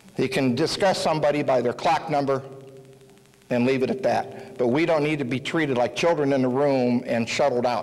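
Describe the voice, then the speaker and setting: A man with an American accent and a fairly high pitch, fairly quick pace, very even loudness, ordinary pitch variation, and noticeable background noise. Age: 50s. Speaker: local political candidate. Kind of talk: campaign speech.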